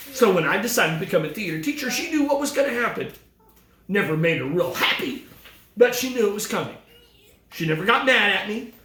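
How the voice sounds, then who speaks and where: A loud man talks at a fairly quick pace with very wide pitch swings, over noticeable background noise and audible room echo. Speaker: retiring theater teacher. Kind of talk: farewell speech. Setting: video call.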